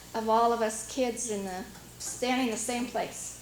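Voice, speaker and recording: A woman's fairly high, monotone, flat voice with a Pacific Northwest accent, with audible room echo and noticeable background noise. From US Pacific Northwest, Washington island. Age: 50s. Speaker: local resident sharing memories. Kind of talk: casual reminiscence at community meeting. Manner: hesitant, many fillers.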